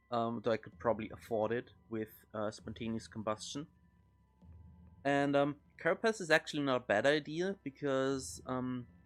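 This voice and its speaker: Music plays in the background. A man talks with lively intonation. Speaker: video game streamer. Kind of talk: gameplay commentary. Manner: loud; hesitant, many fillers.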